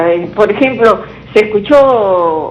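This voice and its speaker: A woman's voice over noticeable background noise. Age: 60s. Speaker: caller. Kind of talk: call-in question.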